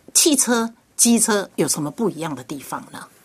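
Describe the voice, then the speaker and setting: A woman's voice has a bright, sharp tone and very wide pitch swings. She keeps to a moderate pace. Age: 60s. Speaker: radio host. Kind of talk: radio interview.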